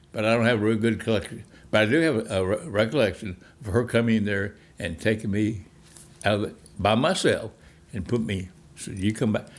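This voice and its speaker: A man speaks with ordinary pitch variation and long, frequent pauses. The recording is very clean, with a silent background. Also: fairly low pitch for a man, fairly quick pace. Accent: Texan. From Texas, Fort Worth. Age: 90s. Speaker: navy veteran. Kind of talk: life story interview. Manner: halting, with frequent repetitions.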